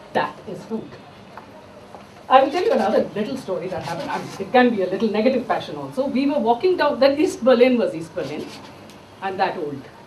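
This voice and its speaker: The speech moves at a fairly quick pace but breaks into long, frequent pauses over noticeable background noise. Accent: Indian. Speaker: chef. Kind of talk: storytelling talk with cooking demo. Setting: stage with audience.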